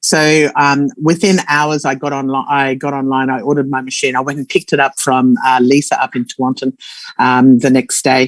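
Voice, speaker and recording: A woman with an Australian accent speaks at a moderate pace. Her pitch is very deep and low, and her intonation is monotone and flat. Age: 60s. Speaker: former nurse sharing testimonial. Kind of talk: testimony. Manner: halting.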